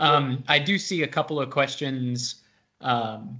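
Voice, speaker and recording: A man's fairly high voice, very slow pace, ordinary pitch variation. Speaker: consulting director hosting webinar. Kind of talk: webinar panel discussion. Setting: video call webinar. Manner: loud.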